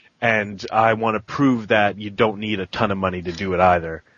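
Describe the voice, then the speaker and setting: A man with an unremarkable speaking voice talks at a fairly quick pace, fairly low in pitch, with fairly even intonation. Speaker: podcast producer. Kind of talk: casual chat.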